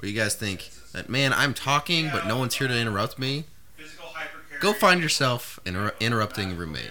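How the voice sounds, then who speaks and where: Over noticeable background noise, a man speaks fairly quickly at medium pitch with very wide pitch swings. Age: 20s. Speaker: podcast co-host. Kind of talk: casual chat.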